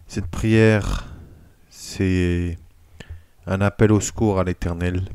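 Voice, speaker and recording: At a very slow pace, a man speaks with a very deep, low pitch and monotone, flat intonation. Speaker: prayer leader. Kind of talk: casual introduction to camera. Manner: stammering, halting.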